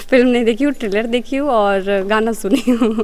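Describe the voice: Here a woman talks at a fairly slow pace. Her fairly high voice shows ordinary pitch variation.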